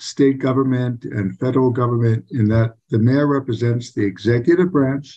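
Against a quiet background, a man speaks in a somewhat breathy voice with fairly even intonation. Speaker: council candidate. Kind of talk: interview answer. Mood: earnest, measured. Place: home room. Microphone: video call.

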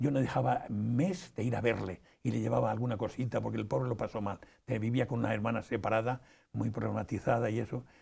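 Against a quiet background, a man talks at a very fast pace in a dark, mellow tone with vocal fry. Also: ordinary pitch variation. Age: 80s+. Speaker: interview guest. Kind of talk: interview; interview answer. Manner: halting, many repetitions. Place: studio. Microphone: lapel.

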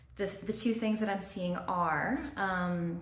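A woman talks at a fairly slow pace with ordinary pitch variation, with audible room echo. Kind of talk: soft role-play, addressed to the viewer. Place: home room. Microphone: phone near.

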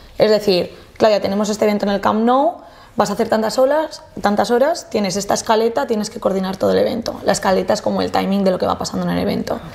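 A woman talks at a very fast pace. Her pitch varies in an ordinary way. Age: 20s. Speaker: luxury event planner; podcast guest. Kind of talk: casual interview chat. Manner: animated. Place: studio.

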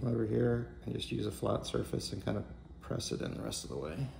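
A man speaks at a moderate pace in a very deep, low pitch. Light background noise sits behind him. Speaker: hobbyist maker demonstrating. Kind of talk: tutorial. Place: home room.

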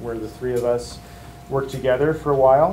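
A man's fairly even intonation over light background noise. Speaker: faculty member introducing a guest lecturer. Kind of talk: speaker introduction. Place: classroom. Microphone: camera far.

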